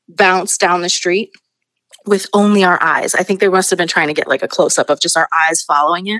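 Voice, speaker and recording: Speaking at a fairly quick pace, a woman with an American accent has an unremarkable speaking voice, medium pitch and ordinary pitch variation. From Astoria, Queens, New York. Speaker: senior producer. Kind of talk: casual interview.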